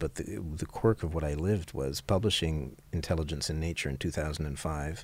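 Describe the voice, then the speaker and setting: A man talks at a moderate pace in a very deep, low voice with vocal fry. The recording is very clean, with a silent background. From grew up multilingual, English and French. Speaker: author. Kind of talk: interview. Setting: conference.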